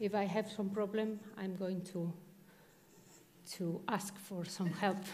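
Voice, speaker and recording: Speaking very slowly, a woman uses a medium pitch and monotone, flat intonation, with audible room echo around her. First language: Spanish. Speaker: architect. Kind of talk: lecture. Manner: halting.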